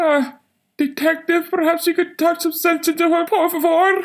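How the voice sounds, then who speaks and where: Put on as a character voice, the extremely high pitch holds a monotone, flat intonation at a moderate pace. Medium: audio drama. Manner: flustered, soothing.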